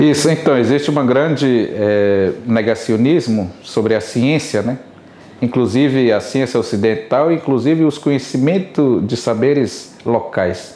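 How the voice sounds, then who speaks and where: A man speaks at a fairly slow pace in an unremarkable speaking voice, medium in pitch with ordinary pitch variation and very even loudness. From Rio Isana, Amazonas, Brazil. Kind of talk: interview.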